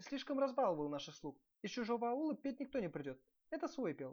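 A man puts on a character voice at an extremely high pitch, with big swings in pitch. He talks fast, and the tone is slightly mellow.

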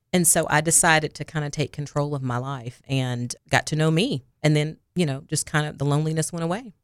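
In a Southern US accent, a woman speaks at a fairly quick pace with a very deep, low pitch. The sound is dry and close, with no echo. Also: ordinary pitch variation, hardly any pauses. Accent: US South. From Arkansas, near Jonesboro. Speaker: counselor. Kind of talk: interview. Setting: studio.

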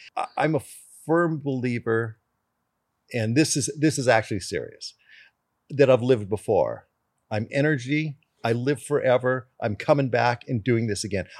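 Speaking at a moderate pace with ordinary pitch variation, the voice leaves long, frequent pauses in a very clean recording with a silent background. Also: man, medium pitch for a man. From Canada. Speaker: race car driver. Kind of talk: casual chat.

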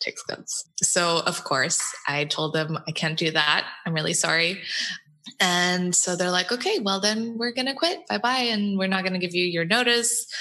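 A woman speaks in an American accent with lively intonation and a medium pitch. Her pace is moderate, with noticeable background noise. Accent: sounds American. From Portugal. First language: Portuguese. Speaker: design agency co-founder. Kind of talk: interview.

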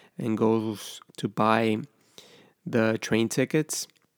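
In a Spanish accent, a man speaks at a medium pitch, his voice dry and close with no echo on a very clean recording with a silent background. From Ecuador, Guayaquil. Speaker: film podcaster. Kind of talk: scripted narration.

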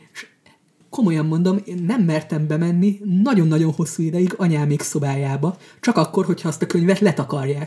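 A man with a high pitch speaks at a fairly quick pace, his dark, mellow tone moving with ordinary pitch variation. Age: 20s. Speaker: stand-up comedian. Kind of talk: casual chat.

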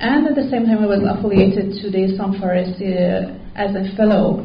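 The woman's pace is moderate. Her voice carries audible room echo, with noticeable background noise underneath. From Iran. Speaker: PhD researcher. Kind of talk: conference presentation. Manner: halting.

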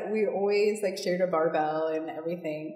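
Set against audible room echo and noticeable background noise, a woman talks at a fairly quick pace. Her pitch is medium and her intonation fairly even. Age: 30s. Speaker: CrossFit coach. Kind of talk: interview.

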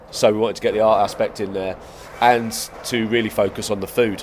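The delivery moves at a fairly quick pace with monotone, flat intonation. Noticeable background noise runs underneath. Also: man. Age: 40s. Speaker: skate park co-director. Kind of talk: casual interview chat.

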